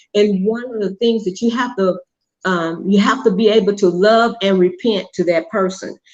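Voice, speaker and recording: The speaker is a woman at a medium pitch. Her intonation stays fairly even. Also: moderate pace. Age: 60s. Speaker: mother of a show host. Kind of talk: casual chat. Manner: halting.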